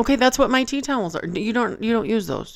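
Speaking at a moderate pace with an American accent, a woman uses a fairly high pitch and vocal fry, captured in a very clean recording with a silent background. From Michigan. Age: 40s. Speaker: podcast co-host. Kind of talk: casual chat.

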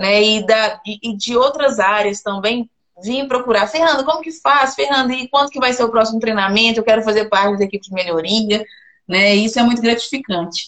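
Using a normal speaking voice, a woman with fairly high pitch talks at a fairly quick pace with ordinary pitch variation. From Minas Gerais, Belo Horizonte. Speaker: mining engineer, process improvement specialist. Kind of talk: interview.

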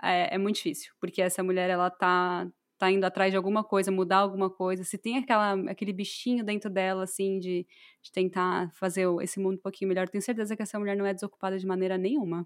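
Very fast and monotone, a woman delivers her lines in flat intonation. The recording is very clean, with a silent background. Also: medium pitch for a woman. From Brazil. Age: 20s. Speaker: podcast co-host. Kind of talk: casual chat.

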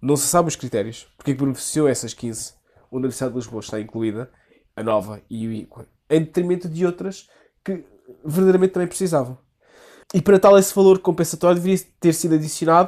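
A man speaks in a high voice at a very fast clip. His intonation is lively, broken by long, frequent pauses. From Portugal, Algarve. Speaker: law faculty member, podcast guest. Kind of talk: casual political discussion. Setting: improvised studio.

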